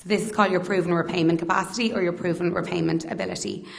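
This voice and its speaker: With an Irish accent, a woman speaks at a fairly low pitch and fairly even intonation. Audible room echo surrounds her voice. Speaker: mortgage advisor. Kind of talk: presentation to audience. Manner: halting, stuttering.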